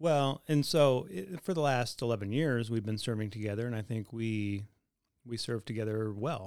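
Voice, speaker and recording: With an unremarkable speaking voice, a man talks at a moderate pace and medium pitch, showing ordinary pitch variation. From US, moved around. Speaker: pastor. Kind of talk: casual chat.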